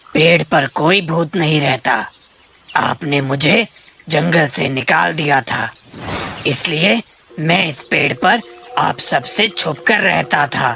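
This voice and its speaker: Over faint background music, a man does a cartoonish character voice at a fairly slow pace and a fairly high pitch. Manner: scary then cowed.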